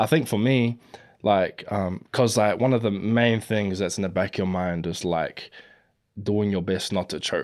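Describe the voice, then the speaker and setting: The speaker uses a New Zealand accent at a fairly slow pace with ordinary pitch variation, in a very clean recording with a silent background. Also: man, fairly low pitch for a man. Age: 20s. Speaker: battle rapper. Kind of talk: casual chat.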